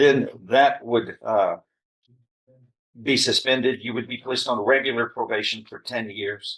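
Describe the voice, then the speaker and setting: A man with an American accent speaks loudly at a medium pitch and moderate pace, his tone bright and sharp. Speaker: judge. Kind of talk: courtroom sentencing hearing. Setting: courtroom. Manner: stern.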